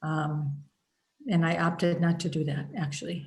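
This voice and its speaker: A woman speaks in a somewhat breathy voice. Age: 60s. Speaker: spiritual healing teacher. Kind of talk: group teaching session. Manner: hesitant, many fillers.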